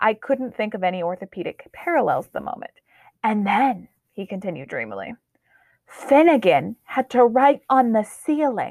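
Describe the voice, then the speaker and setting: Recorded very cleanly against a silent background, a woman with a fairly high pitch and vocal fry speaks with very wide pitch swings and big jumps in loudness, the sound dry and close with no echo. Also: moderate pace. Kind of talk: literary audiobook reading, a story narrated in first person. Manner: measured, wry storyteller's pacing with dry humor; shifts tone to voice the characters' sighs, hopes and hesitations.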